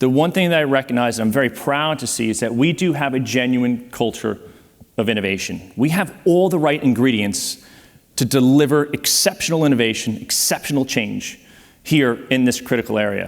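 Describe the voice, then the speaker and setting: Speaking with an American accent, a man at medium pitch talks at a fairly quick pace with ordinary pitch variation. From United States. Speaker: ocean exploration advocate, panel speaker. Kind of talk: conference presentation. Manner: animated.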